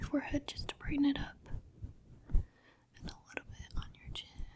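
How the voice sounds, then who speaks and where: A woman whispering in a gentle tone, with big swings in loudness. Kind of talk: ASMR roleplay, personal attention. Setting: close-mic ASMR recording. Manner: soft-spoken, gentle, calming.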